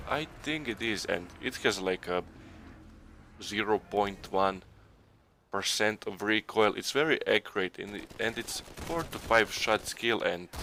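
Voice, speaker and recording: A man with a non-native accent speaks slowly-ish at a fairly low pitch, his tone bright and sharp and his pitch variation ordinary. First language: not English. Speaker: gaming YouTuber. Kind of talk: gameplay commentary. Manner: halting.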